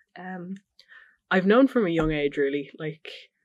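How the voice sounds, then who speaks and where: Against a quiet background, a woman speaks with a Dublin accent. Her voice is very deep and low, and her pace is fairly quick. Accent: South Dublin Irish. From Ireland, South County Dublin. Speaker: interviewee. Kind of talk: personal testimony. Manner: casual, hesitant with fillers.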